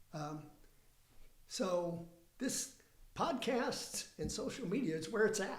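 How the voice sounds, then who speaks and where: A man with a high voice speaks at a very slow pace with lively intonation and long, frequent pauses, and the room echo is audible. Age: 70s. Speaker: playwright. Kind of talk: casual interview chat. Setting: studio.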